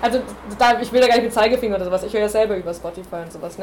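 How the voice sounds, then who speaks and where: Amid noticeable background noise, a woman talks at a fairly high pitch with fairly even intonation. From Bavaria. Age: 20s. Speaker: music student and singer-songwriter. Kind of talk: panel discussion.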